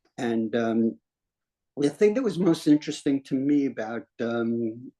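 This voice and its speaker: In a New York accent, a man talks at a medium pitch with lively intonation and a dark, mellow tone, the sound dry and close with no echo. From New York City, Washington Heights. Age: 80s+. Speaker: retired singer and street performer. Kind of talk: life story testimony in a group conversation. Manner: halting, many fillers and repetitions.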